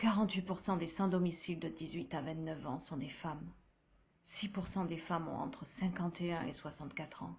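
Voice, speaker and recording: At a moderate pace, a woman uses an ordinary speaking voice, fairly low in pitch with ordinary pitch variation. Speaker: screenwriter and narrator. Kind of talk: dramatic first-person voice-over narration for a web series. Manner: grave, solemn.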